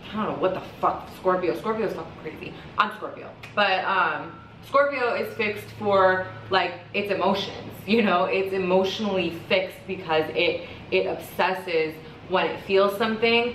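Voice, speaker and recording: A woman talks with ordinary pitch variation. Audible room echo and noticeable background noise surround her voice. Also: medium pitch for a woman. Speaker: astrologer and tarot reader. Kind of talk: casual monologue vlog. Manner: fast, rambling with fillers.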